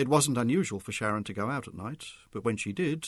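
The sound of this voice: An unforced reading voice carries the clip.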